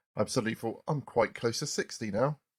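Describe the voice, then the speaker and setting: A man speaks at a medium pitch with fairly even intonation. The sound is dry and close, with no echo. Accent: southern English. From southern England, Poole, Dorset. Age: 40s. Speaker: podcast host. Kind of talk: casual chat.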